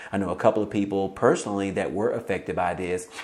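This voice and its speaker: Noticeable background noise sits behind a man's fairly low voice. His intonation is monotone and flat. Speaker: YouTube news commentator. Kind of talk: casual video commentary. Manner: fast; filler-heavy, informal.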